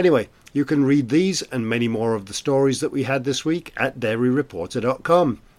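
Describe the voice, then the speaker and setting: Speaking fairly quickly with a British accent, a man uses a medium pitch and ordinary pitch variation. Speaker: podcast host and editor. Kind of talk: interview podcast, casual presenting. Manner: chatty, humorous.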